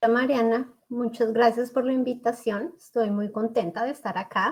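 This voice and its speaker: A woman speaks with a Bogotá accent in a fairly high voice. Her pace is moderate and her intonation fairly even. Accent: Colombian, Bogotá. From Colombia, Bogotá. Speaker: psychologist and school settlement counselor. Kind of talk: interview.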